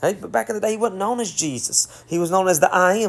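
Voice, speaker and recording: This man speaks in a Southern US accent. His pitch is high, with ordinary pitch variation. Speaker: bible teacher. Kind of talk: bible teaching. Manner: casual, conversational.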